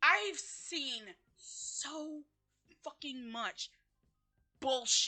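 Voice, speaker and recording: With music playing in the background, a woman speaks in a raised, projected, high-pitched voice at a very slow pace, leaving long, frequent pauses. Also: ordinary pitch variation. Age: 30s. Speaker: vlogger. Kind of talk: rant. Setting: home, outbuilding on family property.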